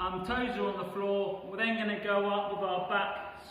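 A man speaks in a raised, projected voice at a moderate pace. His intonation stays fairly even, and the room echo is audible. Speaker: teacher leading exercise. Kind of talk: tutorial. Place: classroom. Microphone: camera far.

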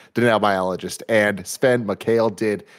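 A normal speaking voice with ordinary pitch variation over a quiet background. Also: man. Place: home room. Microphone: studio mic.

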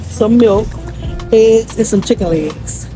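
Clear music plays behind a woman as she speaks. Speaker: family vlogger. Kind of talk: casual vlog chat. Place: shop. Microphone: phone near.

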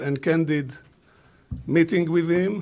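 A man's fairly high voice in a monotone, flat intonation at a fairly slow pace. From Israel. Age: 70s. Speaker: business leader; panelist. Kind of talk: press conference statement. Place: hall. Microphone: podium.

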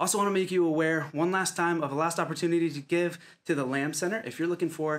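Ordinary pitch variation marks a man speaking at a very fast pace. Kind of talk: church announcements. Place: home room.

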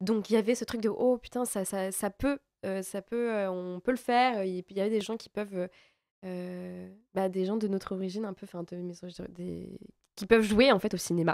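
Using a plain, everyday voice, a woman speaks at a medium pitch and a fairly slow pace with fairly even intonation and big swings in loudness, in a dry sound with no echo and a quiet background. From France. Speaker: actress. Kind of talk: interview. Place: studio. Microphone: studio mic.

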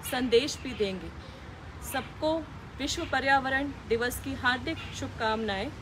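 Through noticeable background noise, a woman with a high pitch speaks very slowly. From India, Delhi. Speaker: civil servant. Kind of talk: public service message. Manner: formal. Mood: earnest, appealing. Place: garden.

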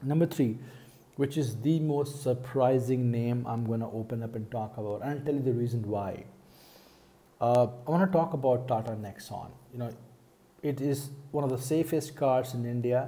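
Pausing long and often, a man speaks at a moderate pace in a dark, mellow, somewhat breathy tone with fairly even intonation. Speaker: car vlogger. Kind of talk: casual vlog commentary. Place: home room. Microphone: earbuds.

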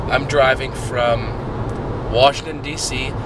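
The sound is dry with no echo. Loud background noise surrounds the man speaking. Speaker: travel vlogger. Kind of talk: casual vlog chat. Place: car. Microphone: phone near.

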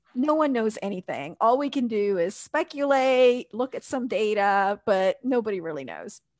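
With an American accent, a woman speaks in an unremarkable speaking voice at a fairly high pitch, moderate pace and lively intonation, hardly pausing, her sound dry with no echo against a quiet background. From US South. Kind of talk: casual chat. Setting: video call. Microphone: headset.

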